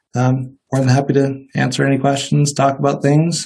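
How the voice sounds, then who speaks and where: A man with an American accent speaks at a moderate pace in a monotone, flat intonation, his fairly high voice somewhat breathy and dark, mellow in tone. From Northwest Iowa. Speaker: dentist. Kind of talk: interview, casual conversation.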